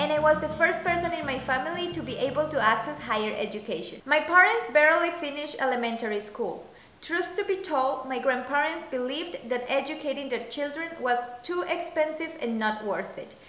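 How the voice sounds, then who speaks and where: A woman with a Spanish accent speaks at a fairly quick pace in a high pitch, her intonation lively, with audible echo from the room. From Colombia. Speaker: coffee business founder. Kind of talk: scripted narration. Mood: calm, earnest. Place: home room.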